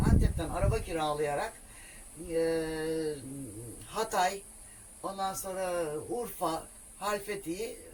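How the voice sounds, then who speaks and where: A woman of medium pitch talks with normal pitch movement as noticeable noise sounds in the background. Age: 60s. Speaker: solo camper van traveller. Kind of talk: casual interview.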